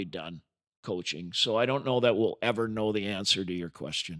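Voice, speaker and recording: A man with an American accent and a normal speaking voice, fairly quick in pace, ordinary in pitch variation, on a very clean recording with a silent background. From United States. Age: 60s. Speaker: ice hockey coach. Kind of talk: interview.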